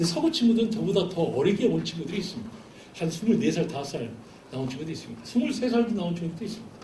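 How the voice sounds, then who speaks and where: A man with lively intonation, plus noticeable background noise and audible room echo. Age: 40s. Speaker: missionary. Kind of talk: sermon.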